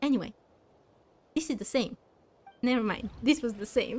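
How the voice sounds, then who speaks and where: A woman with a Bulgarian accent speaks with a high pitch and ordinary pitch variation. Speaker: video game streamer. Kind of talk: live game stream with chat. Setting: live stream late at night. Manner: scattered, less calm than usual.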